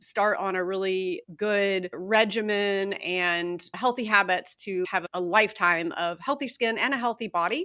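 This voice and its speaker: A woman has a bright, sharp tone at medium pitch with ordinary pitch variation. She speaks at a fairly slow pace. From Kentucky. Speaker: dermatologist. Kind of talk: interview.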